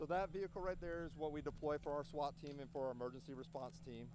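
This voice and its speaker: Noticeable background noise behind a man's voice, the sound dry with no echo. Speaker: police SWAT officer. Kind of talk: casual interview. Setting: outdoors at a lakefront event. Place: open country.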